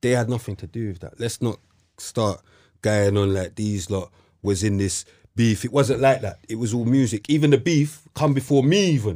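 In a London accent, a man speaks at medium pitch in a dark, mellow tone, at a moderate pace with ordinary pitch variation, on a very clean recording with a silent background. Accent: London multicultural youth English. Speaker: podcast host. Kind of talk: casual chat.

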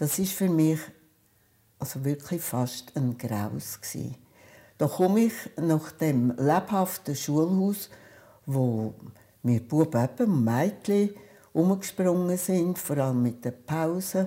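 With a Zug accent, a woman speaks in a very deep, low pitch and a dark, mellow tone, her intonation lively. She goes at a very slow pace with long, frequent pauses on a very clean recording with a silent background. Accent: Swiss German (Zug dialect). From Switzerland, Zug. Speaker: retired children's nurse, oral history interviewee. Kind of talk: oral history storytelling.

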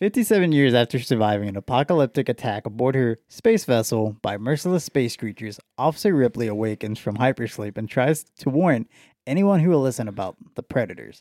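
Here a man speaks at a fairly quick pace with a medium pitch, lively intonation and a dark, mellow tone. The sound is dry and close with no echo, on a very clean recording with a silent background. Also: hardly any pauses. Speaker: podcast host. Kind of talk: casual banter, movie discussion. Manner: joking, profane, casual.

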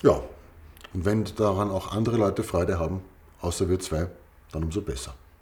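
Using long, frequent pauses, a man speaks with vocal fry at a very deep, low pitch and ordinary pitch variation. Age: 40s. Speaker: podcast co-host. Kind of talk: casual chat.

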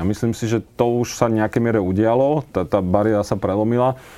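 A man's fairly low, dark and mellow voice, very fast, with fairly even intonation. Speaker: former politician. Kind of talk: interview.

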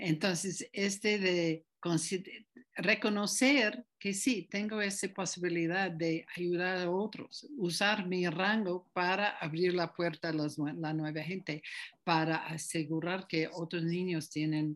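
A woman with an English accent speaks very slowly, her fairly low pitch rising and falling in an ordinary way. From United States. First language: English (speaking Spanish). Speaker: group facilitation teacher. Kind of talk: interview. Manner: halting.

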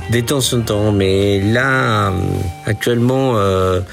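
A man speaks with a Spanish accent at a fairly low pitch. There is noticeable background noise behind him. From Peru. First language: Spanish (speaking French). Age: 60s. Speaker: retired musician and accountant. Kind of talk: casual interview. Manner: halting.

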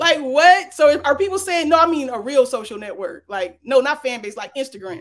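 The voice has an animated tone and moves at a fairly quick pace with hardly any pauses. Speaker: interview show host. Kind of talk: live interview. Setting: studio.

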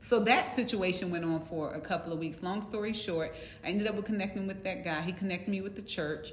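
A woman with an American accent talks very fast, her pitch varying in an ordinary way, amid noticeable background noise and audible room echo. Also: medium pitch for a woman. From US East Coast. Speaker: co-host. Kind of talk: casual chat.

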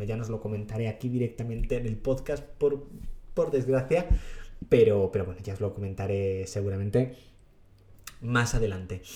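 A man of medium pitch talks at a moderate pace. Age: 30s. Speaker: youtuber podcast host. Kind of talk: solo podcast monologue.

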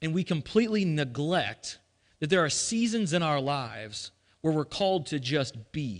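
A man with a fairly high voice speaks at a moderate pace, animated and with lively intonation. The background is quiet. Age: 30s. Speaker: pastor. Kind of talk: sermon.

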